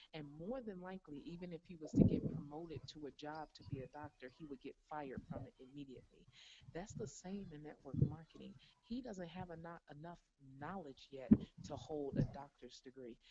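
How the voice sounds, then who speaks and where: Quiet but with lively intonation, a woman talks at a fairly quick pace, her loudness swinging widely. Her tone is dark and mellow, her pitch very deep and low. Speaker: network marketing top earner. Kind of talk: motivational interview answer.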